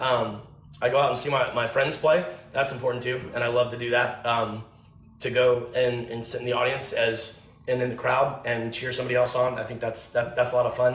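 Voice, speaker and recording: Delivered fairly quickly in a flat monotone with a slight Southern US accent, the speech carries audible room echo and noticeable background noise. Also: man, medium pitch for a man. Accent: slight Southern twang. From Tennessee. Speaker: country music artist. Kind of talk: casual chat. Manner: halting.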